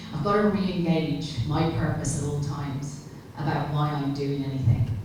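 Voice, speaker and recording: In an Irish accent, a woman with a very deep, low pitch speaks amid noticeable background noise and audible room echo. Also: ordinary pitch variation, moderate pace. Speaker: keynote speaker on athlete development. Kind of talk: conference keynote. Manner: loud.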